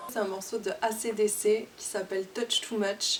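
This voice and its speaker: A woman's medium-pitched voice, with fairly even intonation, comes through noticeable background noise. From southern France, near Toulouse. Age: 20s. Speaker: singer-songwriter. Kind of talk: interview. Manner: hesitant, many fillers.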